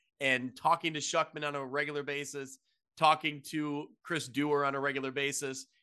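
With a Midwestern US accent, a man talks at a fairly high pitch in a bright, sharp tone against a quiet background. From Quad Cities area, Illinois/Iowa. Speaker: high school football podcast host. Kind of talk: casual sports podcast chat.

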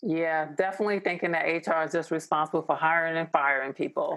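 Speaking in a fairly low voice with an American accent, a woman keeps a monotone, flat intonation. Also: quiet background. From New York. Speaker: organizational development strategist and author. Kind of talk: interview.

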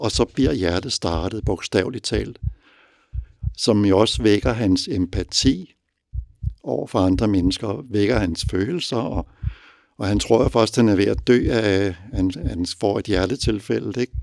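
A man's fairly low voice with vocal fry, ordinary pitch variation and a fairly slow pace. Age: 60s. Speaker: father and reader. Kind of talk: interview.

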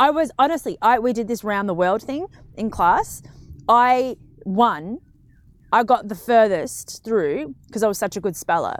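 On a very clean recording with a silent background, a woman with an ordinary speaking voice talks at a fairly slow pace, her fairly high pitch carried by lively intonation. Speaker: podcast co-host. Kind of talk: casual chat. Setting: studio.

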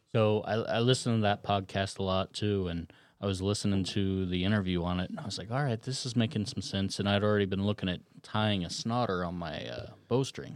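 A man speaks at a fairly low pitch and a fairly quick pace. He has an ordinary speaking voice with ordinary pitch variation. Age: 40s. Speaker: archer. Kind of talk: casual chat.

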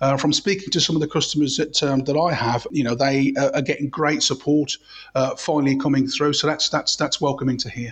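A man speaks at a fairly quick pace in a somewhat breathy, fairly high voice with fairly even intonation. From Birmingham, English Midlands. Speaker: TV personality and bank brand ambassador. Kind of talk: interview. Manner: hesitant, many fillers. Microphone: connection issues.

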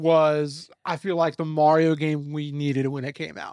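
On a very clean recording with a silent background, a man talks at a moderate pace in an ordinary speaking voice, pitched fairly high. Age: 30s. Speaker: gaming podcast co-host. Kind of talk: casual chat.

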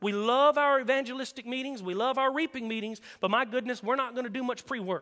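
Talking very fast in a raised, projected voice, a man sounds extremely high-pitched with a bright, sharp tone and ordinary pitch variation. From rural area. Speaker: traveling evangelist preacher. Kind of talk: sermon. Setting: church.

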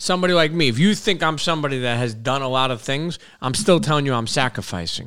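With an American accent, a man talks at a very fast pace in a fairly high pitch, his bright, sharp tone and lively intonation captured on a very clean recording with a silent background. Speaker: food entrepreneur and motivational speaker. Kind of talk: casual chat. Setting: studio. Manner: halting, many filler words.

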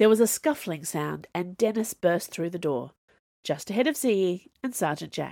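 With lively intonation, an unforced reading voice comes through over a quiet background.

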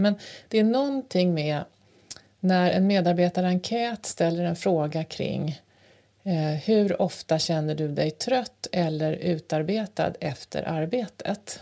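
With a dark, mellow tone and fairly low pitch, a woman talks at a very slow pace with ordinary pitch variation. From rural Sweden, grew up on a farm. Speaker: podcast co-host. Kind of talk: casual chat. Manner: halting, many fillers.

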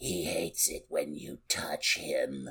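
A man talks fairly slowly in a put-on character voice. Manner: menacing.

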